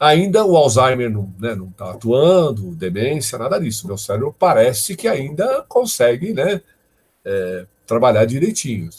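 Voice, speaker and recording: A man speaks fairly slowly at medium pitch, somewhat breathy. His pitch swings very widely, and his loudness varies greatly. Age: 60s. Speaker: professor, data science lecturer. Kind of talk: live online lecture Q&A. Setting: live stream. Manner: conversational, many fillers.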